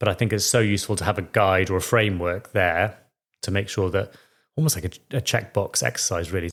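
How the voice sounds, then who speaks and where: Speaking with a Welsh accent, a man uses a fairly low pitch and ordinary pitch variation. He moves at a fairly quick pace on a very clean recording with a silent background. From Wales. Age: 40s. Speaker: financial planner. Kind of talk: podcast interview. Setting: at home, kitchen.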